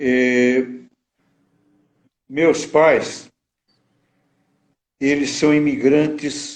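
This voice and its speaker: This man speaks at a fairly high pitch. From Brazil, Minas Gerais (Juiz de Fora). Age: 80s+. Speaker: psychologist and lawyer. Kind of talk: biographical interview. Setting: online live stream.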